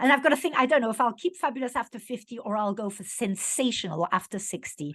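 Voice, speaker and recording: Very fast speech from a woman with lively intonation. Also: fairly high pitch for a woman. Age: 50s. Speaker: podcast host. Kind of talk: interview. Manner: conversational.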